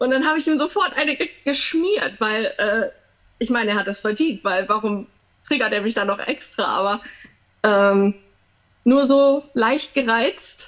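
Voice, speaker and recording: A woman speaks at a fairly high pitch with lively intonation. Her pace is fairly slow, with long, frequent pauses. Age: 30s. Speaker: emergency nurse with misophonia. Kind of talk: interview. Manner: hesitant, many fillers.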